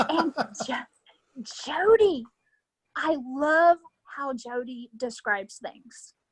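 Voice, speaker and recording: A high-pitched woman with an American accent talks at a very slow pace, her intonation lively. Her speech has long, frequent pauses, and the sound is dry and close with no echo. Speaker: wrestling fan, podcast guest. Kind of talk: casual chat interview.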